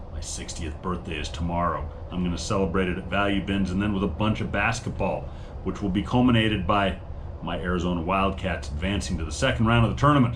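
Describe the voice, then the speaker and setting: A man talks at a very fast pace in a very deep, low voice with ordinary pitch variation. Noticeable background noise and audible room echo are present. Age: 50s. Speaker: online reseller and channel host. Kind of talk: casual monologue. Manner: hesitant, many fillers.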